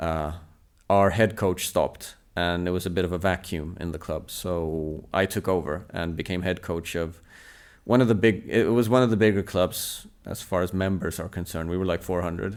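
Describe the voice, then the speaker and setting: A moderate pace and fairly even intonation in a Swedish accent, on a very clean recording with a silent background. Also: man, very deep, low pitch for a man. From southern Sweden. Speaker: table tennis coach. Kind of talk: interview.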